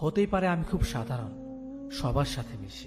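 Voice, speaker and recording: With music in the background, a man speaks using ordinary pitch variation. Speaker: radio presenter. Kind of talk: motivational speech narration. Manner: emotional, heartfelt.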